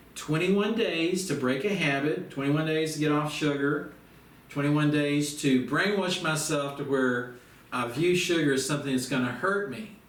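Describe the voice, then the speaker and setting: With noticeable background noise and audible room echo, a man talks at a moderate pace in a fairly high voice with ordinary pitch variation. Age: 60s. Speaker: self-help course teacher. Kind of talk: instructional monologue. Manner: casual, folksy.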